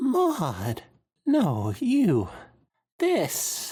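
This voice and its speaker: This is a put-on character voice. It sounds strained. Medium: read story. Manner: strained, struggling to stay even.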